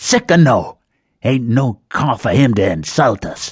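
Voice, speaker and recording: A man in a put-on character voice with a Western US accent speaks at a medium pitch and a fairly slow pace, in a dry, close sound with no echo over a quiet background. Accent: Old West drawl. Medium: read story. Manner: worried, cautioning.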